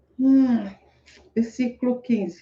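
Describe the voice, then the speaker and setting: A woman with a dark, mellow tone, somewhat breathy, at a very slow pace. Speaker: motivational speaker reading scripture. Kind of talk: casual live talk with scripture reading and commentary. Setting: home room with open window, street noise.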